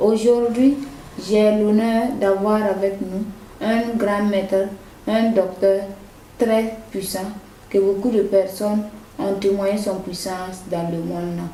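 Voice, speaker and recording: Over noticeable background noise, a woman with a medium pitch and fairly even intonation speaks at a fairly slow pace with long, frequent pauses. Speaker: TV program host. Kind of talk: TV show introduction.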